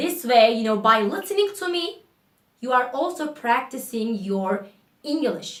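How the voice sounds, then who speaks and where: A woman speaks at a fairly slow pace, her pitch swinging very widely. Audible room echo surrounds her voice. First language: Turkish. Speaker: English teacher YouTuber. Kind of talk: casual spoken English lesson to camera. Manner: spontaneous, casual.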